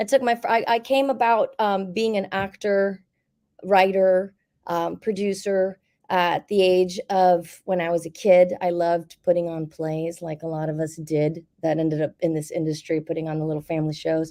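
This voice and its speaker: A woman's dark, mellow voice at a fairly low pitch. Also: ordinary pitch variation, moderate pace. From Miami, Florida. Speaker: actor, writer and producer. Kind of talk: panel discussion. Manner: halting, many fillers and restarts.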